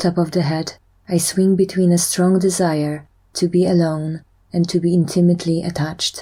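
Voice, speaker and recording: A woman's fairly low, somewhat breathy voice, dark and mellow in tone, monotone with flat intonation and very even loudness. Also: moderate pace. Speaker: EFT tapping guide. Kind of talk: guided tapping session.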